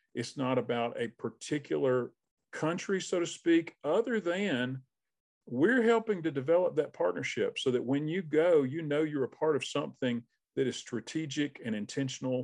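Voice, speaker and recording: With a Southern US accent, a man talks at a moderate pace with lively intonation. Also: fairly high pitch for a man, quiet background. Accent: Southern US (Georgia). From South Georgia, US (Albany). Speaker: missions consultant, former pastor. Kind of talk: interview.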